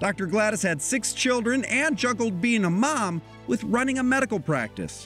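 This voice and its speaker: Music plays in the background while a man speaks at a moderate pace. His high pitch carries lively intonation, and his loudness stays very even. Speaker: TV news reporter. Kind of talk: TV news feature narration.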